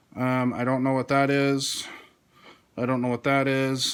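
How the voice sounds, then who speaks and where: Speaking at a fairly slow pace, the man has a medium pitch. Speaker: board game video host. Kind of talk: unboxing tutorial. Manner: hesitant, many fillers.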